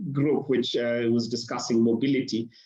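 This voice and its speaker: A man's voice carries audible room echo. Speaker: architect and urban sketcher. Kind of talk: conference presentation.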